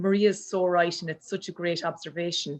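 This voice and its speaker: A woman's fairly low voice with a Kerry accent, monotone and flat, over a quiet background. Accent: Irish (Kerry). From Ireland, County Kerry. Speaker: business owner, HR consultant. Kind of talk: panel discussion.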